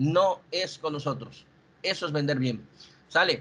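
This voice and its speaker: This male voice sits fairly high and keeps its intonation fairly even. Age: 40s. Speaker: insurance sales manager. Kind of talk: sales training presentation. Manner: halting.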